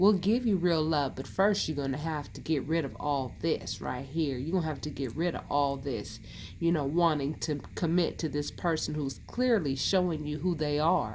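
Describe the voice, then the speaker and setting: A woman's very deep, low voice with ordinary pitch variation, a moderate pace, hardly any pauses, and audible room echo. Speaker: tarot reader. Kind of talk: tarot reading. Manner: conversational.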